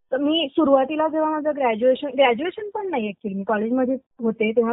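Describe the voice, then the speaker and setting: Here a woman speaks at a high pitch. Her intonation is lively. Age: 20s. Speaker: small business owner, artist. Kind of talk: interview.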